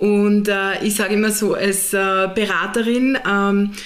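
Woman's voice with audible room echo and noticeable background noise. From Austria, southern Burgenland. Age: 30s. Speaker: HR manager and systemic constellation facilitator. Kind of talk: interview.

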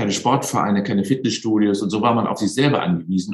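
This man has an unremarkable speaking voice. His pitch varies in an ordinary way. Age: 60s. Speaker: sports science professor. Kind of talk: interview.

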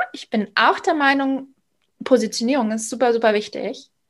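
Lively in intonation, a woman's speech moves at a fairly slow pace. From Bavaria, Munich area. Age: 30s. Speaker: sales coach and founder. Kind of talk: podcast interview.

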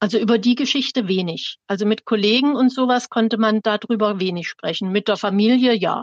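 A woman at a fairly quick pace with hardly any pauses, fairly high in pitch with ordinary pitch variation, in an unremarkable speaking voice. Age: 60s. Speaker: retired teacher. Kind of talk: personal testimony.

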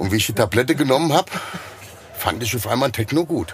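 Over noticeable background noise, a man with a Hessian accent talks with lively intonation. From Hesse, Germany (Liederbach). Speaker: former bouncer, magician. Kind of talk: casual chat.

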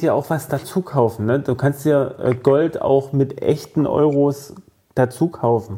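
This man's tone is dark and mellow, somewhat breathy. He keeps to a moderate pace. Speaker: podcast co-host. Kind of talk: casual chat.

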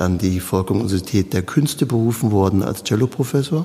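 A man with a fairly low pitch and ordinary pitch variation speaks against noticeable background noise. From Palatinate, Germany (Südpfalz). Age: 50s. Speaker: cellist and artistic director. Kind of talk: interview.

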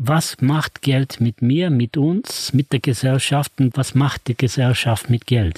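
Very slow and somewhat breathy, the voice has ordinary pitch variation, hardly any pauses and very even loudness, with a dry, close sound with no echo. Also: man, medium pitch for a man. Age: 70s. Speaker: author and money seminar leader. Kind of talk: interview conversation.

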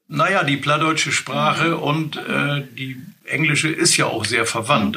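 Audible room echo surrounds the voice. It belongs to a man talking at a moderate pace. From northern Germany, Wursten coast near Bremerhaven. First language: Low German (speaking German). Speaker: retired colleague, Low German speaker. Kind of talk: language lesson, casual chat.

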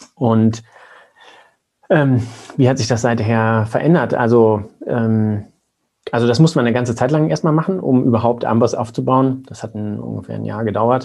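A man with a medium-pitched voice and a dark, mellow tone talks at a moderate pace, leaving long, frequent pauses. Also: ordinary pitch variation. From Lower Saxony, Germany (Braunschweig). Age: 30s. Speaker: company co-founder, physician. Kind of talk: interview. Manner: halting, many filler sounds.

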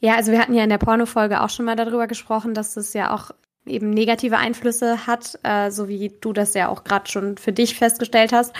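At a very fast pace, a woman with a fairly high pitch talks in a monotone, flat intonation. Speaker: podcast co-host. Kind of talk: casual chat. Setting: remote recording. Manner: audible breathing into mic.

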